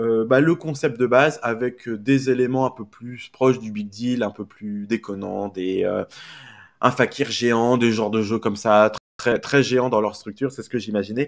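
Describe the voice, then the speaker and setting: A man of medium pitch speaks at a fairly slow pace with fairly even intonation. His loudness swings a lot on a very clean recording with a silent background. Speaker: media commentator streamer. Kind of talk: live stream casual chat. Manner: hesitant, many fillers; speaking louder.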